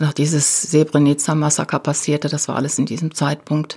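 A woman's voice with a very deep, low pitch. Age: 60s. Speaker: retired political activist. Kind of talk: interview. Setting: studio.

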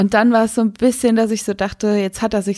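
A woman speaks at a very fast pace in a monotone, flat intonation. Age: 30s. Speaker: radio and podcast co-host. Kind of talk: casual chat. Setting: remote recording, not in the same room.

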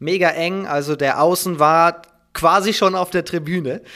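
Very slowly, a man speaks in a bright, sharp tone. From Schleswig-Holstein, northern Germany. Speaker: handball commentator and journalist. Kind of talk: casual interview. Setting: at his desk at home.

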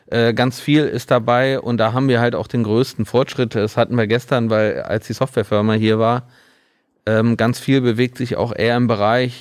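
This man's intonation is monotone and flat, at a moderate pace and medium pitch. The recording is very clean, with a silent background. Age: 40s. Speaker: mastering studio owner. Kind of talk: casual interview.

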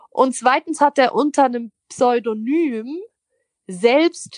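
A woman's high-pitched voice with lively intonation, a very slow pace and dry, close sound with no echo. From Switzerland. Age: 20s. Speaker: poetry slammer and cabaret artist. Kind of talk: interview. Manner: casual.

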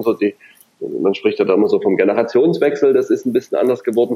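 A man is speaking. His pace is very fast. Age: 30s. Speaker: company managing director. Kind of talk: podcast interview. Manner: hesitant, many fillers and repetitions.

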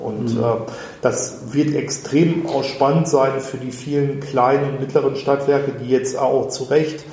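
Amid noticeable background noise and audible room echo, a man with a fairly high pitch talks at a fairly slow pace in a monotone, flat intonation. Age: 40s. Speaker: recruitment consultant. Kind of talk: interview conversation.

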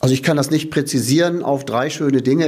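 With an ordinary speaking voice, this man sounds fairly high in pitch and keeps his intonation fairly even. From Lower Saxony, Diepholz district. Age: 60s. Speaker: outgoing mayor. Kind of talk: interview.

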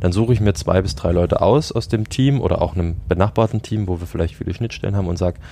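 Noticeable background noise behind a man's fairly low pitch, ordinary pitch variation and very fast pace. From Saxony, Dresden. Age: 20s. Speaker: team and organisation developer. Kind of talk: casual interview. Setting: outdoors on a balcony.

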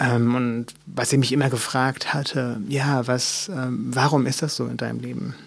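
At a fairly slow pace, this unremarkable speaking voice moves with ordinary pitch variation. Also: man. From Mecklenburg, eastern Germany. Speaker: author. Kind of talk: interview.

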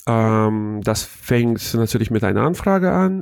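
This is a man with a normal speaking voice and a medium pitch, talking at a fairly slow pace. The sound is dry and close, with no echo. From Hannover, northern Germany. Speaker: wedding emcee, former radio presenter. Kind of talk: interview.

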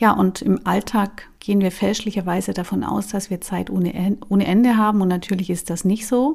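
A woman speaks at a moderate pace with a somewhat breathy voice. Her intonation stays fairly even, and she hardly pauses at all. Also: medium pitch for a woman. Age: 40s. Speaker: life coach and podcast host. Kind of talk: solo podcast talk.

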